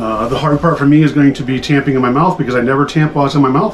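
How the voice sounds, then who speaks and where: A man talks fairly quickly in fairly even intonation while noticeable background noise plays around him. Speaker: pipe smoking video creator. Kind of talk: casual video vlog. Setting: at home desk, recording video. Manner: hurried.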